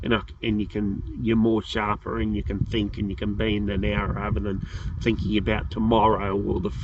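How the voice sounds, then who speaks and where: In an Australian accent, a man talks at a moderate pace with vocal fry. His pitch is fairly low and his intonation fairly even. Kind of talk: casual talk to camera. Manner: rambling, hesitant.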